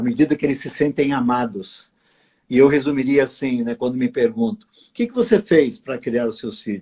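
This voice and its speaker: A man with a medium pitch and a dark, mellow tone speaks at a moderate pace with lively intonation. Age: 60s. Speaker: pastor and writer. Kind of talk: interview on a live stream. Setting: live stream video call.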